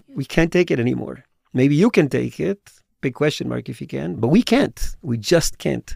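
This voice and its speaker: Recorded very cleanly over a silent background, a man speaks at a moderate pace, the sound dry and close with no echo. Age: 50s. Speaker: tour educator. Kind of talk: personal testimony in podcast interview.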